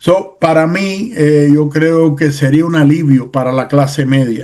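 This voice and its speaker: A man's dark, mellow, fairly high voice, fairly slow in pace, with ordinary pitch variation. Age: 60s. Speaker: political commentator. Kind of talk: casual chat. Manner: halting.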